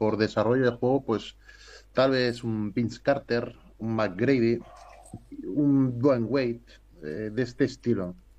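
A man with a plain, everyday voice, medium pitch and fairly even intonation, at a fairly slow pace against a quiet background. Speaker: basketball coach. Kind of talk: casual chat.

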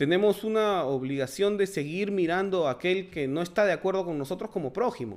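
A man talks in a high-pitched voice, his intonation lively. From Peru. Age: 40s. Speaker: political commentary podcaster. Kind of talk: solo monologue commentary. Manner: halting, many fillers.

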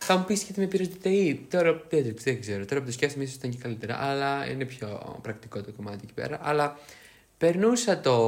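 Speaking at a fairly quick pace, a man with fairly high pitch makes very wide pitch swings and big swings in loudness. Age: 20s. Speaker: podcast co-host. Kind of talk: casual chat.

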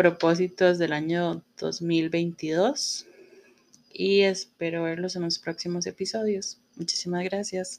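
A woman with a fairly low pitch, a very slow pace and fairly even intonation. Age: 30s. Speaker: podcast host, publicist. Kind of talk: solo podcast monologue. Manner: casual, filler-heavy.

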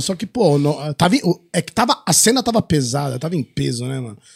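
A somewhat breathy man at a fairly high pitch, quick-ish pace and lively intonation, with a dry, close sound and no echo. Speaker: adult film actor. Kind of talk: casual chat. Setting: studio. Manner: varying loudness.

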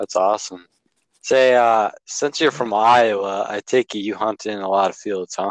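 A man with an Upper Midwest accent, fairly even in intonation, in a dry, close sound with no echo. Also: fairly low pitch for a man, moderate pace. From Wisconsin. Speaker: podcast host, hunter. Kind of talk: casual interview. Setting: podcast.

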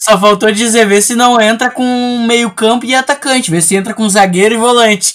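This man's voice is extremely high in pitch. He keeps a fairly even intonation at a moderate pace. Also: hardly any pauses. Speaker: podcast host. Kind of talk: casual chat.

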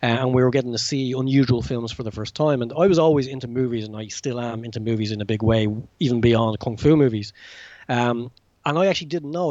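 A man with an Irish accent at a very fast pace. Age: 40s. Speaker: self-published novelist and martial arts film fan. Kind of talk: casual interview. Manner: halting, many fillers and repetitions.

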